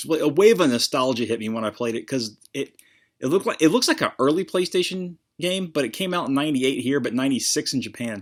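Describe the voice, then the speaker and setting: A man with an American accent speaks at a fairly high pitch with lively intonation. The recording is very clean, with a silent background. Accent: slight southern drawl, usually suppressed. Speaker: video game collector vlogger. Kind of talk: casual chat. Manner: hesitant, many fillers.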